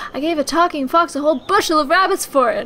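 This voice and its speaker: A woman races along at a very fast pace in a put-on character voice with extremely high pitch, over clear background noise. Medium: game stream.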